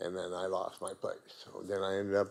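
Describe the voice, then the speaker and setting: At a moderate pace, a man is speaking. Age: 60s. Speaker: public speaker at council, shelter user. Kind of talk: council deputation, personal testimony. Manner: halting, many fillers.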